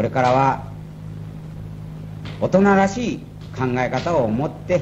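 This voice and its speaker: A man talks, and noticeable background noise can be heard behind him. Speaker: company president. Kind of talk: ceremonial speech. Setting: old tape recording. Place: hall. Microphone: old recording.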